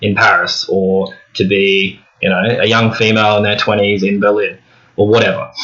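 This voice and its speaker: A man speaks with an Australian accent. His pitch is fairly low and his intonation fairly even. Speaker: book vlogger. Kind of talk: casual monologue to camera. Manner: halting, with fillers.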